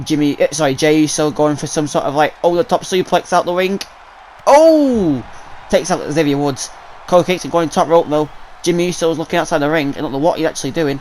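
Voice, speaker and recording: Someone with a British accent talks at a very fast pace with ordinary pitch variation over noticeable background noise. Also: man, fairly high pitch for a man. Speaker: gaming YouTuber. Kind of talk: live game commentary. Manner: animated.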